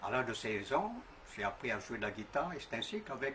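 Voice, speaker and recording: Lively intonation from a man at a medium pitch, against noticeable background noise. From New Caledonia, north. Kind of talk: testimony. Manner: halting, frequent hesitations.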